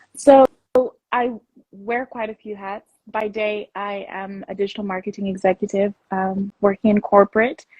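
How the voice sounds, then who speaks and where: Speaking in an American accent, a woman keeps a moderate pace and medium pitch with fairly even intonation. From Netherlands. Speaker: founder of a women's community. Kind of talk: casual interview chat. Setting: livestream interview.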